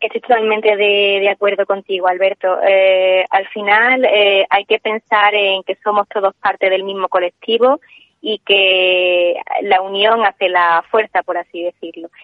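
Monotone, flat intonation at a fairly slow pace. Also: woman, medium pitch for a woman. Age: 20s. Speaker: acoustic engineer and entrepreneur. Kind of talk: radio interview.

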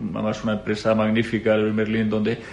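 A man's fairly low voice in a monotone, flat intonation at a fairly quick pace. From Spain, Madrid. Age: 40s. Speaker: company CEO. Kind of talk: interview. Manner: halting, frequent repetitions.

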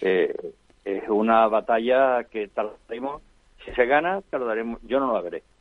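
This man has an unremarkable speaking voice with ordinary pitch variation. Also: medium pitch for a man, fairly slow pace. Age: 60s. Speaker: foundation founder. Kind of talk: interview.

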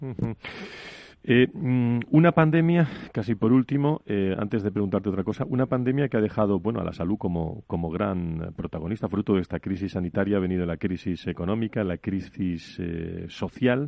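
A man's plain, everyday voice, fairly low in pitch, with lively intonation. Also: moderate pace. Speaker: radio health show host. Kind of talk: radio talk show. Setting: radio studio in Madrid.

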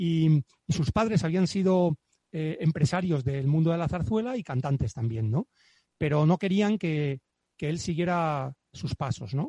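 A man with a fairly high pitch and a dark, mellow tone speaks at a fairly slow pace with lively intonation. The background is quiet, and the sound is dry and close with no echo. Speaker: guest discussing his grandfather's book. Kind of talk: casual chat. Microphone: professional microphone.

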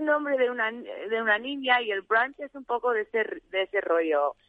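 The woman's pitch is high and her intonation lively. She speaks at a fairly slow pace. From US, Arizona. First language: English (speaking Spanish). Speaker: restaurant director. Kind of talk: radio interview. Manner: halting.

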